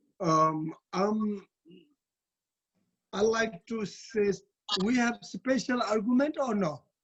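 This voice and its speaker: A man's high-pitched voice at a very slow pace, with long, frequent pauses and ordinary pitch variation. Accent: Tibetan. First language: Tibetan. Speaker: Tibetan Buddhist abbot and teacher. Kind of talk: dharma talk. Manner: halting.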